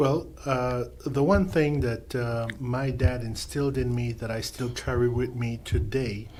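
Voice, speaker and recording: Somewhat breathy, a man at medium pitch talks fairly slowly with hardly any pauses and ordinary pitch variation, audible room echo around him. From Panama. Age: 60s. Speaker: mentor. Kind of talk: casual chat. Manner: halting, many uh fillers.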